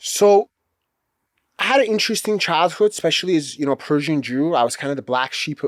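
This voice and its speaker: With an Iranian accent, a man talks at a fairly quick pace and fairly high pitch with lively intonation, the recording very clean, silent in the background, dry and close with no echo. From Los Angeles, US. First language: Farsi. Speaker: attorney. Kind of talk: interview.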